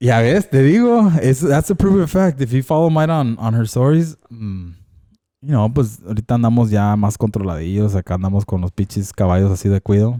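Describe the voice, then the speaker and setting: In a very clean recording with a silent background, a man with a medium pitch and a dark, mellow tone speaks at a very fast pace with lively intonation. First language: Spanish. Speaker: podcast co-host. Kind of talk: casual chat.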